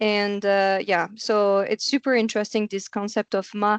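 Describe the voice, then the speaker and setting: In a French accent, a woman with a fairly high pitch speaks at a fairly slow pace in a monotone, flat intonation. The sound is dry and close, with no echo. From France. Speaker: podcast host. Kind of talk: interview conversation.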